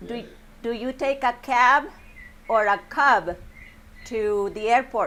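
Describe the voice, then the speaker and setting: In a Spanish accent, the speaker has a bright, sharp tone and ordinary pitch variation, talking at a very slow pace with long, frequent pauses. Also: woman, high pitch for a woman. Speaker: English teacher. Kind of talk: classroom lesson. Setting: classroom with students.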